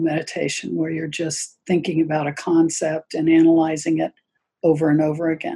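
Speaking at a fairly quick pace, a woman has a dark, mellow tone and a fairly low pitch. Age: 70s. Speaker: yoga teacher. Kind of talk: casual interview chat. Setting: video call.

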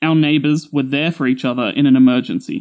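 A man with an Australian accent talks at a moderate pace with a fairly high pitch. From Australia, Sydney. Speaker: storyteller. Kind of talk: scripted narration.

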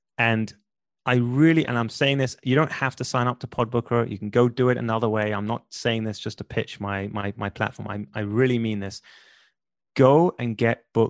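With a London accent, a man talks at a moderate pace and medium pitch. The sound is dry and close with no echo, over a quiet background. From London, England. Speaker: podcast booking entrepreneur and podcast host. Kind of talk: interview conversation. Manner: animated.

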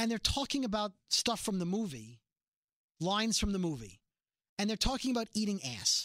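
On a very clean recording with a silent background, a man with a high pitch uses lively intonation and takes long, frequent pauses. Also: moderate pace. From Brooklyn, New York. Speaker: podcast host. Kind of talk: casual chat about a TV show. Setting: studio.

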